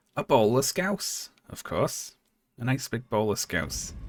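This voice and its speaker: With a slight Liverpool accent and some vocal fry, a man speaks at a medium pitch with lively intonation. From Liverpool, England. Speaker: streamer. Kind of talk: live stream chat while gaming. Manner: casual, chatty.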